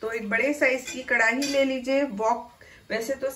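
Her pitch high, a woman talks at a fairly slow pace. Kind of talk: tutorial. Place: kitchen.

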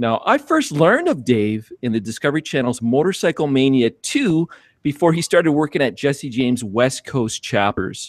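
Against a quiet background with a dry, echo-free sound, a man talks at a moderate pace with lively intonation. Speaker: podcast co-host. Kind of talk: guest introduction. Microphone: video call.

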